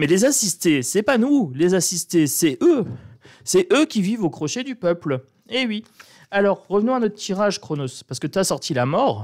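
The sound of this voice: A man in a northern French accent, high-pitched with big pitch swings, a slightly mellow tone and a moderate pace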